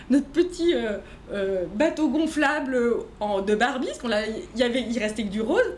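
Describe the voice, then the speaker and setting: With audible room echo and noticeable background noise, a woman speaks high in pitch at a fairly slow pace with lively intonation. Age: 40s. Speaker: entrepreneur. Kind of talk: casual chat. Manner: halting.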